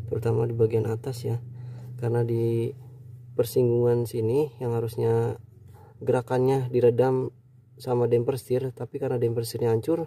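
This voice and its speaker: A somewhat breathy voice with a dark, mellow tone speaks at a fairly quick pace. The intonation is monotone and flat, and the sound is dry with no echo. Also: man. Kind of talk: tutorial. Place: car.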